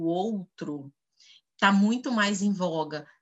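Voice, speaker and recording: Delivery is very slow. The pitch rises and falls in an ordinary way. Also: woman. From Goiás, Brazil. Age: 30s. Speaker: HR executive and educator. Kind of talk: interview. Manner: hesitant with fillers.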